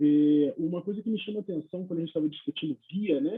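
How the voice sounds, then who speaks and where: Lively in intonation, a man with a high pitch talks at a fairly quick pace. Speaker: neurologist on a medical panel. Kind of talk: panel discussion. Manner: soft-spoken.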